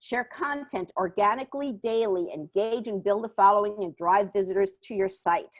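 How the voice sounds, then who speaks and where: A woman speaks with a New York accent at a medium pitch. Her pitch varies an ordinary amount, and she hardly pauses. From New York, Puerto Rican family. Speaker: small business marketing advisor. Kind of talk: webinar presentation and Q&A. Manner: fast.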